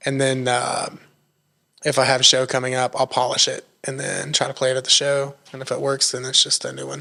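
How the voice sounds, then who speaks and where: A man's medium-pitched voice in an Appalachian accent, fairly quick, with monotone, flat intonation. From Northeast Tennessee, Appalachia (Erwin). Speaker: songwriter and musician. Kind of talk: podcast interview. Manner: casual, many fillers.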